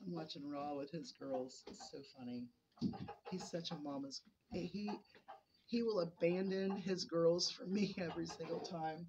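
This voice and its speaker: Loudness rises and falls sharply, and the pace is fairly slow. Intonation is lively, with noticeable noise in the background. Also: woman, fairly low pitch for a woman. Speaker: homesteader vlogger. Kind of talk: casual vlog monologue. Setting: in a barn. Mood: chatty, amused. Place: farm machine. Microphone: phone near.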